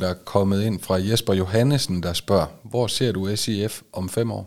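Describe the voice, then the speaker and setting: A man's fairly low voice at a very slow pace with ordinary pitch variation, on a very clean recording with a silent background. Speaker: football club podcast host. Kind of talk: interview. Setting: studio.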